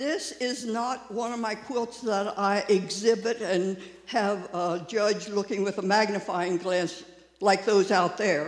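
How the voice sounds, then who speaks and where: Over noticeable background noise and audible room echo, a man speaks at a very slow pace in a high pitch with fairly even intonation. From US, Maryland (Frederick). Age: 80s. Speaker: quilter. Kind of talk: speech to congregation. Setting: church service.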